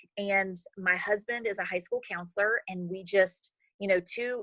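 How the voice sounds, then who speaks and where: A woman with an American accent speaks at a moderate pace in a bright, sharp tone, her intonation fairly even and the sound dry and close with no echo. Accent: slight country. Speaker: network marketing leader. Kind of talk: interview. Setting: video call.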